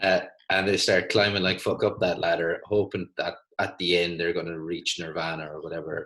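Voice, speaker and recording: In an Irish accent, a man talks at a fairly quick pace. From Ireland. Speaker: physiotherapist and podcast host. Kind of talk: casual conversation.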